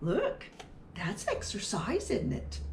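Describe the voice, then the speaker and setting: A woman talks in a put-on character voice. Clear background noise runs underneath. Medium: read story. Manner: plain, laid-back.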